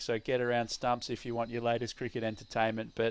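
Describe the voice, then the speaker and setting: A very clean recording of a man with an Australian accent, the background silent. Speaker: cricket commentator. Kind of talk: live commentary.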